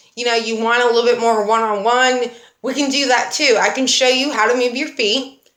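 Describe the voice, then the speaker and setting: The tone is animated and the pace fairly quick. There's audible echo from the room. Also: woman. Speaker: dance fitness instructor. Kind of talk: livestream talk to class. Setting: livestream.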